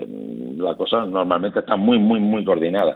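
A man talks in a normal speaking voice, fairly low in pitch. His pitch variation is ordinary. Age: 50s. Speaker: offshore industry company manager. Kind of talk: radio interview.

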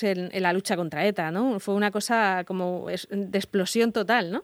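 A woman speaks with a medium-pitched voice. The sound is dry and close, with no echo. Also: very clean recording, silent background. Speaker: radio host. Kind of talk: casual chat. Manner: halting.

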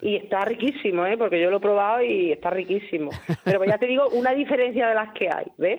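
A woman speaks at a very fast pace with a La Mancha accent, her pitch in the medium range. Her loudness stays very even, and noticeable background noise runs underneath. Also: ordinary pitch variation. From Hellín, Albacete (Castilla-La Mancha). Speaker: restaurant cook. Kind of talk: radio interview.

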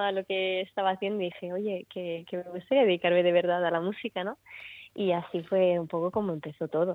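A woman speaks with a slight Murcian accent. Her intonation is monotone and flat. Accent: slight Murcian Spanish creeping in. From Italy. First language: Italian (speaking Spanish). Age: 20s. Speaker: singer-songwriter. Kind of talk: radio interview.

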